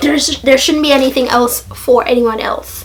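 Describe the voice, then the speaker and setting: Over noticeable background noise, a woman with a high voice speaks fairly slowly in a flat, monotone way. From Jamaica. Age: 20s. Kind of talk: casual talk to camera.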